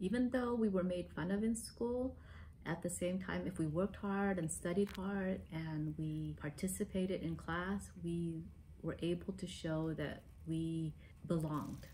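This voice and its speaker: Against light background noise, a woman with an American accent talks at a fairly slow pace. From US, raised there after leaving Vietnam as a child. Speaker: lawyer, immigrant interviewee. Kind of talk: interview testimony. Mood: calm, reflective. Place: home room.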